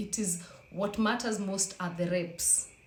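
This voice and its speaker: A woman talks at a fairly slow pace, heard through audible room echo and noticeable background noise. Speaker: fitness vlogger. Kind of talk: casual vlog talk.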